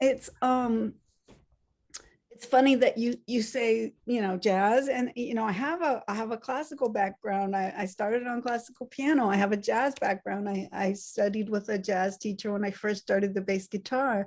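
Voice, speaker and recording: Against a quiet background, a woman with a fairly high pitch talks at a moderate pace with ordinary pitch variation. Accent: American. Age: 60s. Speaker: musician. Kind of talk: interview. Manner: halting, many fillers and restarts.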